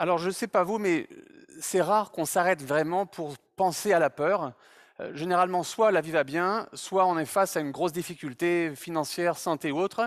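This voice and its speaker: On a very clean recording with a silent background, the voice keeps a moderate tempo and shifts pitch in an ordinary way. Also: man, high pitch for a man. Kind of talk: public talk. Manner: hesitant, many fillers.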